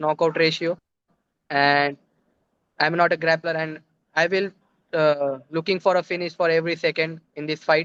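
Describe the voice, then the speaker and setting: Monotone, flat intonation at a moderate pace. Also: man. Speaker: amateur MMA fighter. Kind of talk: casual interview.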